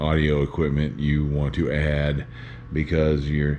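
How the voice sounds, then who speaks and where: Very deep, low tones from a man, moderately paced, over noticeable background noise. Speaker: YouTuber filming home setup video. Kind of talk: casual vlog talk to camera. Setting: indoors, dim living room of condo. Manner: hesitant with many fillers.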